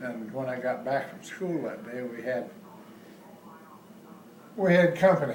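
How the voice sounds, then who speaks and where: Over noticeable background noise, a man talks at a fairly slow pace. His pitch is medium, with ordinary variation. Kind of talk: interview answer. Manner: reminiscing, casual.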